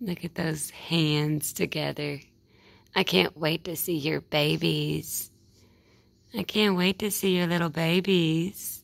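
A woman with a Southern US accent talks at a very slow pace in a fairly low voice, her intonation fairly even and edged with vocal fry. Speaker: wildlife video creator. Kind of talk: casual narration to camera while feeding animal. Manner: soft, cooing baby talk to animal.

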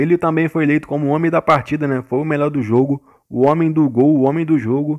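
This man has a fairly high voice and speaks with a Brazilian accent. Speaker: gaming youtuber. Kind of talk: gameplay commentary. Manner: animated.

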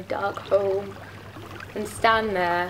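A woman speaks with a British accent. There is noticeable background noise behind her. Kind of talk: poetry reading.

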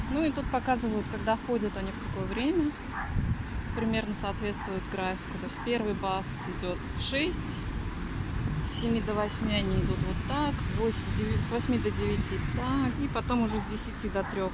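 Through loud background noise and a dry sound with no echo, a woman speaks at a moderate pace with long, frequent pauses. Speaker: vlogger. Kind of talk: casual vlog chat. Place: street. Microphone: phone near.

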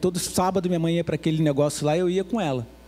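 A man rattles along at a very fast pace while faint music sits in the background. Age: 50s. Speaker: pastor. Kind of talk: sermon. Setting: church. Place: church. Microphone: handheld.

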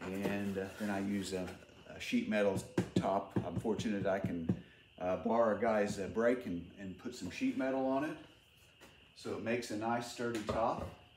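Over music in the background and with audible room echo, a man with a fairly low pitch talks at a moderate pace with fairly even intonation. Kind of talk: tutorial. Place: workshop. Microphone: phone near.

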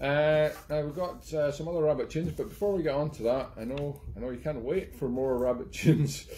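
A man speaks at a moderate pace with a medium pitch and ordinary pitch variation. His tone is dark and mellow.

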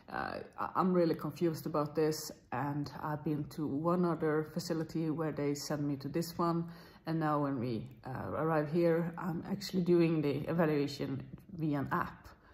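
A woman talks at a moderate pace in a very deep, low pitch, her intonation fairly even. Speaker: vlogger. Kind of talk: casual vlog chat. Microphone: phone near.

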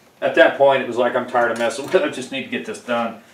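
Light background noise sits under a man whose voice has audible room echo. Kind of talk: tutorial. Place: garage.

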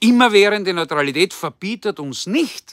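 A man speaks with a bright, sharp tone and very wide pitch swings. The sound is dry with no echo, and the background is quiet. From Austria. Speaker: political commentator. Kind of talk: political address. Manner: formal. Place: garden. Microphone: phone near.

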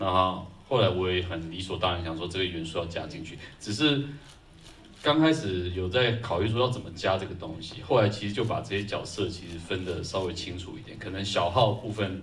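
The speech moves at a fairly quick pace with lively intonation over light background noise. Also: man, very deep, low pitch for a man. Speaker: film composer. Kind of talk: post-screening Q&A. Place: hall.

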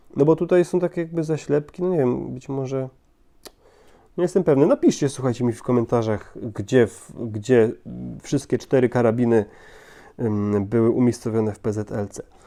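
A man talks at a moderate pace and medium pitch, his tone dark and mellow, with ordinary pitch variation. His loudness swings widely against a quiet background. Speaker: toy model reviewer. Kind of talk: product review. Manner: hesitant, frequent word repetitions.

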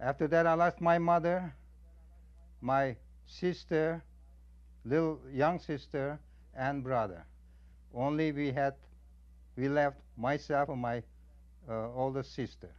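Against a quiet background, a man with an Armenian accent and a fairly high pitch speaks at a fairly slow pace with ordinary pitch variation and long, frequent pauses. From Armenian community of central Anatolia, Turkey (Kayseri). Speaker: genocide survivor. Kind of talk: testimony. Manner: halting.

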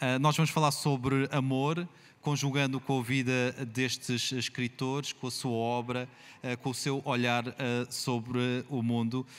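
A man with a Portuguese accent at a moderate pace, his intonation monotone and flat. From Portugal. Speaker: festival panel moderator. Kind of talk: moderated literary panel discussion. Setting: stage with live audience. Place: tent. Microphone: handheld.

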